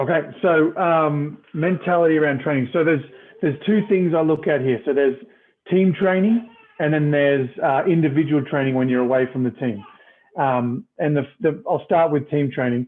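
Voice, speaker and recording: A man with a slight Australian accent, fairly high pitch and ordinary pitch variation, at a moderate pace and very even loudness. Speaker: retired rugby player and coach. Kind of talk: casual interview.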